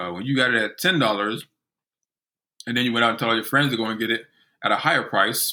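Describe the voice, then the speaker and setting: A man's bright, sharp tone carries ordinary pitch variation. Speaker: investing educator. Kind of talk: tutorial. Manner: frequent ums.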